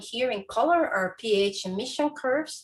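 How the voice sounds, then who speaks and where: A woman talks in a plain, everyday voice. Her pitch is fairly high, with ordinary variation. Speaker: astrophysics researcher. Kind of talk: lecture.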